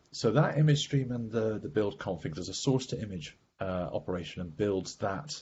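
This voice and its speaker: Against light background noise, a man with a somewhat breathy voice speaks at a medium pitch with very wide pitch swings. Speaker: software architect giving a tech demo; presenter. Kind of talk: technical demo presentation. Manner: fast. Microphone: video call.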